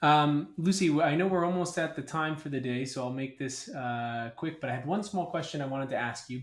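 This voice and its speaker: Pitched fairly high, a man speaks at a fairly quick pace. He has an American accent. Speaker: podcast host. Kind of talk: interview.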